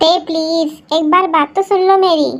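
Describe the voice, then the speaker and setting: In a put-on, squeaky character voice, a woman speaks at an extremely high pitch, raised and projected, with monotone, flat intonation at a moderate pace. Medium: fan dub.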